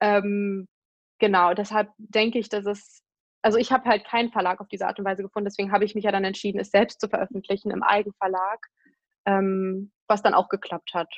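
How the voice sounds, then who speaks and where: Monotone and flat in intonation, the speech moves at a fairly quick pace over a quiet background. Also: woman, medium pitch for a woman. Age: 20s. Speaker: blogger and author on eating disorders. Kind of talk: interview.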